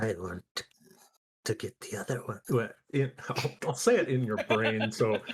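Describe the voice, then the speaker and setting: A man puts on a character voice. He leaves long, frequent pauses. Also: medium pitch for a man, moderate pace. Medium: actual play. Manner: curious, inquisitive.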